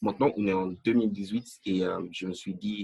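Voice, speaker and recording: The man here has a fairly low pitch. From Nigeria. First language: not French (English-speaking country) (speaking French). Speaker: language learner. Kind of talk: interview. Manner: halting, many fillers.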